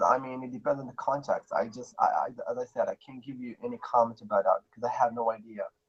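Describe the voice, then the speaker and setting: A man speaks at a very fast pace with hardly any pauses. His loudness swings widely, and the sound is dry and close with no echo. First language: Arabic. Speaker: panel member. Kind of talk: live stream debate.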